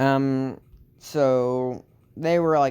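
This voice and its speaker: With an American accent, a man speaks in a dark, mellow tone and fairly even intonation. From Texas. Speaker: storyteller. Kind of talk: improvised fan story narration. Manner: halting, many fillers.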